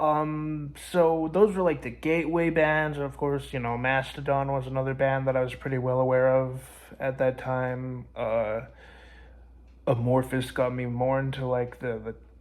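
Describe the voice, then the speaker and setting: A quiet man's medium-pitched voice at a moderate pace, with fairly even intonation and audible room echo. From Canada. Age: 20s. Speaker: music vlogger. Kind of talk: casual vlog monologue. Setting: at grandma's house. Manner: halting, many fillers; kept down, quiet.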